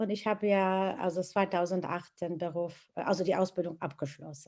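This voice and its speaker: With a non-native accent, a woman speaks at a medium pitch and a moderate pace. Her intonation is fairly even, and the background is quiet. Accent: foreign accent in German. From Iraq. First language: Arabic (speaking German). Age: 50s. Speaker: teaching assistant and interpreter. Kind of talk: interview testimony. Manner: halting, many hesitations.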